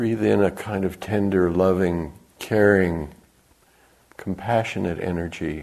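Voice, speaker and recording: Speaking in a calm, gentle tone, a man with a very deep, low pitch goes at a fairly slow pace, leaving long, frequent pauses. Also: fairly even intonation. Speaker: meditation teacher. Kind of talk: guided loving-kindness meditation. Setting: meditation retreat center, live to a group. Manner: slow, soft, calm and gentle with long pauses.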